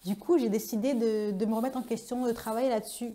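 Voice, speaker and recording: A woman speaks over noticeable background noise. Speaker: vlogger. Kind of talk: personal vlog monologue. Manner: very expressive, energetic.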